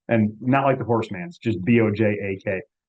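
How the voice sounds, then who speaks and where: A man with an American accent, medium pitch, moderate pace and fairly even intonation. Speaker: political candidate, activist. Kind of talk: panel remarks on a video call. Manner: soft-spoken, keeping voice down; halting, many repetitions.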